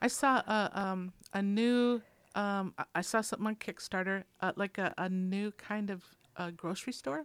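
A woman speaks with an American accent in an unremarkable speaking voice, at medium pitch and a moderate pace with ordinary pitch variation. The very clean recording has a silent background and a dry, close sound with no echo. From Minnesota, US. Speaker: community radio food show co-host. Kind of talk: casual chat. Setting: radio studio.

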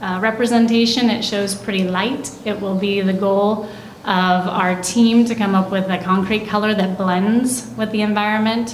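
Noticeable background noise sits behind a woman speaking at a fairly slow pace. Her pitch is medium, with ordinary variation. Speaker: city engineer. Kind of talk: council meeting staff report answering questions. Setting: live council meeting room.

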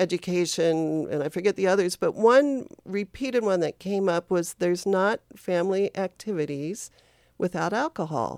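Captured in a very clean recording with a silent background, the sound is dry and close, without echo. A woman with an ordinary speaking voice, medium-pitched, talks at a moderate pace with ordinary pitch variation. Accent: American. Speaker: public health worker. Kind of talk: radio interview. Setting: studio.

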